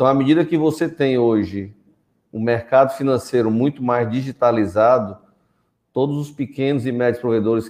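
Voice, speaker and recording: Delivered at a fairly slow pace, it is a normal speaking voice with ordinary pitch variation. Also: man. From Northeast Brazil (Fortaleza). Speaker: telecom executive and founder. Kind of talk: webinar panel discussion.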